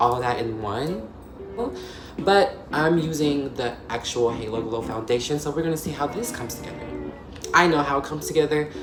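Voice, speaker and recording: A woman's very deep, low voice with lively intonation, music in the background and audible room echo. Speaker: video essayist and beauty YouTuber. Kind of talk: casual chat. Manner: fast; halting.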